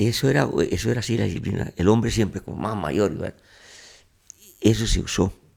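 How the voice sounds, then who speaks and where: Speaking at a fairly quick pace yet with long, frequent pauses, a man uses a fairly low voice with vocal fry. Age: 80s+. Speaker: grandfather guest. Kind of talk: interview answer.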